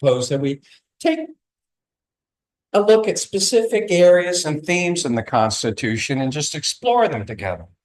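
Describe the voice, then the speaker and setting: A man speaks with very wide pitch swings. His pace is moderate. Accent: American. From US South, southeast Virginia (Newport News). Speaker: author and discussion facilitator. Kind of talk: welcome speech to a live audience.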